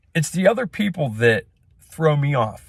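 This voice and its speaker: A man speaks loudly at a moderate pace. His pitch swings very widely. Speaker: small business owner and vlogger. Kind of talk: casual rant monologue. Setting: in a truck.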